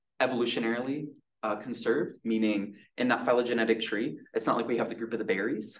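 Someone is reading aloud in a natural voice. The pitch varies in an ordinary way over a quiet background.

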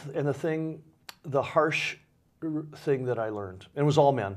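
The pace is fairly quick. The background is quiet. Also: man. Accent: American. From Michigan, Waterford; Michigan. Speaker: nonprofit director; interview guest. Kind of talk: interview. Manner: halting. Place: studio.

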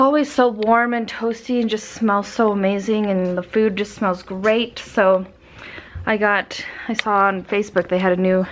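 At a moderate pace, a woman is talking. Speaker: vlogger. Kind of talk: casual vlog chat. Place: home room. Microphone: phone near.

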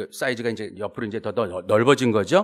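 Against a quiet background, the speaker goes at a fairly quick pace with ordinary pitch variation. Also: man. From South Korea. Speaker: professor. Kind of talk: academic presentation. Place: meeting room. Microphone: podium.

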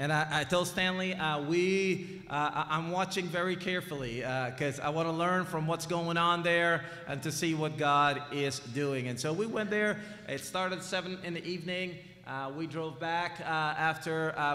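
Music plays in the background while a man talks at a moderate pace with fairly even intonation. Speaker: preacher. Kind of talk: sermon. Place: church. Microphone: podium.

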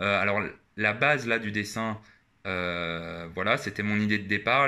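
The man's voice is fairly low, with ordinary pitch variation. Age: 20s. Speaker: YouTuber. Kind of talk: casual vlog monologue. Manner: hesitant, many filler 'euh'.

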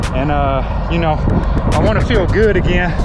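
A man's voice over loud background noise. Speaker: truck driver vlogger. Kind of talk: casual vlog chat. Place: open country. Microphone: phone near.

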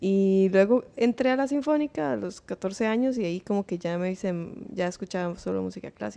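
A woman speaks in a dark, mellow tone with lively intonation. She keeps a moderate pace with hardly any pauses. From Costa Rica, Pérez Zeledón (San Isidro del General); Costa Rica. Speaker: singer-songwriter, multi-instrumentalist; podcast guest. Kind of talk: casual interview. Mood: relaxed, reflective. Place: studio. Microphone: studio mic.

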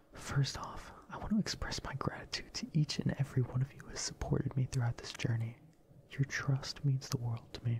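Someone is whispering. The pace is fairly quick. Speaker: content creator. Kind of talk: apology video monologue. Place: home room. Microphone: studio mic.

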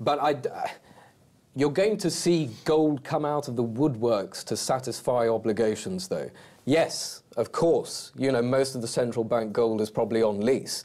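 With an unremarkable speaking voice, a man talks at a fairly slow pace and with lively intonation on a very clean recording with a silent background. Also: medium pitch for a man. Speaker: gold market analyst. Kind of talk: interview.

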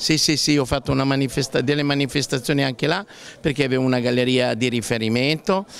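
A man at a very fast pace, with ordinary pitch variation and very even loudness, in a dry sound with no echo and light background noise. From Emilia, Italy. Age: 60s. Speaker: painter. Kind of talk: interview. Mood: honored, warm.

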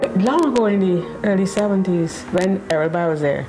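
Noticeable background noise surrounds a woman's voice. She talks at a moderate pace with ordinary pitch variation. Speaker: committee chair interviewee. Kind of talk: interview answer. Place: home room.

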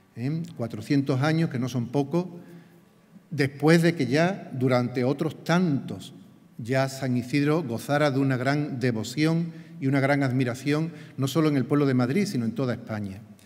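A man's fairly high voice, a normal speaking voice, with ordinary pitch variation and a fairly slow pace. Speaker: parish priest. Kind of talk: homily-style blessing; formal speech at ceremony. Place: stage. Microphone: podium.

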